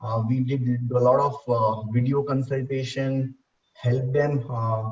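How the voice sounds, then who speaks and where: The voice is somewhat breathy and flat in a monotone, moving at a fairly slow pace. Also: man, medium pitch for a man. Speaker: salon business executive. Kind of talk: panel discussion. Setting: video call. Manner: hesitant, many fillers.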